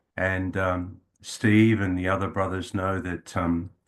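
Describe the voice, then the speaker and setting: Against a quiet background, a man with an Australian accent speaks at a very deep, low pitch in a monotone, flat intonation. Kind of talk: talk to an audience. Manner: hesitant, many fillers.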